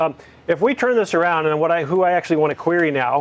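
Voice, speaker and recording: Male speech at a fairly quick pace, its pitch shifting in an ordinary way. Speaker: guest lecturer on computer networking. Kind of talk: lecture. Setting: classroom with students. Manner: fast.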